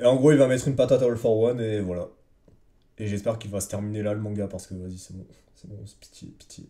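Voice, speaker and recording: Talking at a very fast pace, a man with a fairly low pitch and a dark, mellow tone shows ordinary pitch variation and big swings in loudness. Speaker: manga review podcaster. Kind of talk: casual solo review. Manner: hesitant, many filler words.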